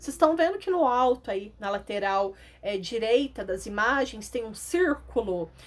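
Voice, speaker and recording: Pitch swings very widely as this woman talks at a moderate pace. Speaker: schoolteacher. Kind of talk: lesson for children.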